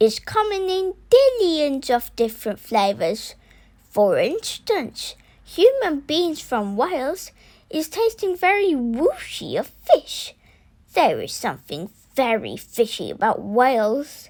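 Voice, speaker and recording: High-pitched, fairly slow put-on character voice from a female speaker. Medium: read story. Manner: booming, ungrammatical, full of invented words.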